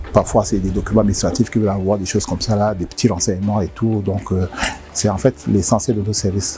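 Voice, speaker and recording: Music plays behind a man who talks very fast. His intonation stays fairly even. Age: 60s. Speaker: company director. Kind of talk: interview. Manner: halting.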